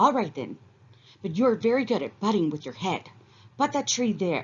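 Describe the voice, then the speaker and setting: A put-on character voice, female-sounding, at medium pitch and a moderate pace. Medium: read story. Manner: fast.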